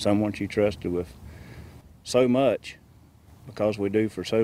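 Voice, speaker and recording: A man's fairly low voice with ordinary pitch variation, dry with no echo, over light background noise. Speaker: veterans group member, interviewee. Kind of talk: emotional interview remarks. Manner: halting, emotional. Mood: upset, disbelieving. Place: open country. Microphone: lapel.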